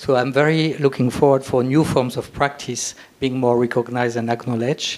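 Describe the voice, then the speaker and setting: A man's normal speaking voice, medium in pitch, at a moderate pace with fairly even intonation. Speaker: landscape architect. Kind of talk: short speech.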